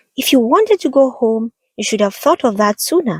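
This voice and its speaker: A female-sounding put-on character voice, squeaky and high-pitched, moves along at a fairly quick pace. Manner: scolding, stern.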